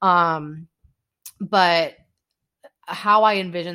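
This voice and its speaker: A bright, sharp tone on a very clean recording with a silent background. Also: woman. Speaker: podcast co-host. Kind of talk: casual chat. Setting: late night home recording with tea.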